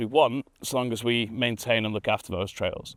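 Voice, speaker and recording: A man with a Manchester accent speaks at a fairly quick pace. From northern England, Manchester. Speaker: mountain bike trail builder. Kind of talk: documentary interview.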